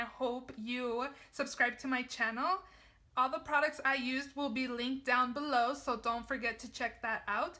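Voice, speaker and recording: In a raised, projected voice, a woman speaks at a high pitch with a bright, sharp tone and ordinary pitch variation. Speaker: beauty vlogger. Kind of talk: tutorial.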